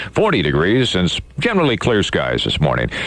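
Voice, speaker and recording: With an American accent, a man talks as noticeable background noise plays. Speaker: radio disc jockey. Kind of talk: morning radio show host patter. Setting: radio studio broadcast. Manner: upbeat, fast, chatty.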